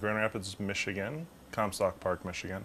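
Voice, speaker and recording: Light background noise accompanies a man with a plain, everyday voice, a fairly low pitch and lively intonation. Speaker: video producer and show host; show host. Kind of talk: casual chat. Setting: outdoors.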